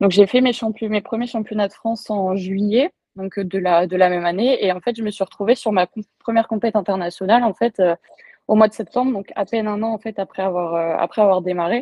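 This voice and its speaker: Her intonation fairly even, a woman speaks at medium pitch and a fairly quick pace. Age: 20s. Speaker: powerlifting athlete and coach. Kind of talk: interview. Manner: hesitant, many fillers.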